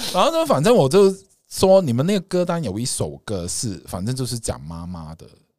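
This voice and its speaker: A man speaks at a fairly quick pace in a medium pitch. His pitch swings very widely, and his loudness shifts a great deal. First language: Cantonese (speaking Chinese). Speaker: astrology podcast host. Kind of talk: casual chat.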